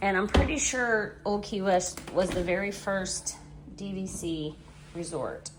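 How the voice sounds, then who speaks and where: At a fairly slow pace, a woman speaks with a medium pitch and ordinary pitch variation. Noticeable background noise and audible room echo surround her voice. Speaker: vlogger. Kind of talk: casual vlog narration. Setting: vacation resort room. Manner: speaking quietly.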